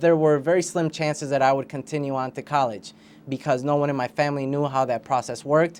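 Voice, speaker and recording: This man speaks with a Spanish accent at a fairly high pitch, his intonation fairly even. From Puerto Rico, raised in St. Paul, Minnesota from third grade. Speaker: school board candidate. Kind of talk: interview.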